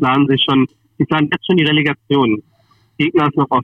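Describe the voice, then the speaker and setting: Fairly high-pitched for a man, this is an ordinary speaking voice with fairly even intonation. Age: young. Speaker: sports commentator. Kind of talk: casual chat. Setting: phone call. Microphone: phone line quality.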